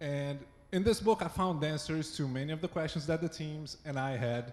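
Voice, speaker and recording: Speaking with a Brazilian accent, a man has a fairly high pitch and ordinary pitch variation. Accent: Brazilian accent, noticeable. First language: Portuguese. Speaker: site reliability engineer. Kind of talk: conference talk. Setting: stage with audience. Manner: not too fast.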